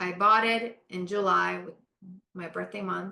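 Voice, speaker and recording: In a Spanish accent, a woman talks with a bright, sharp tone. Her intonation stays monotone and flat. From Panama. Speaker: architect. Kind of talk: interview.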